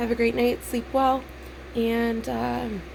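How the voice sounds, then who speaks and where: A woman's voice over noticeable background noise. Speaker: vlogger. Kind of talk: personal vlog monologue. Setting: in bed at home. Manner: halting, many fillers.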